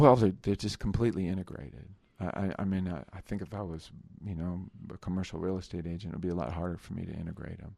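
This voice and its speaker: A voice with an American accent and a dark, mellow tone races at a very fast pace, with ordinary pitch variation and big swings in loudness. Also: man, very deep, low pitch for a man. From New Jersey. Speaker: sculptor. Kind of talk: interview. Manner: halting, many fillers and repetitions.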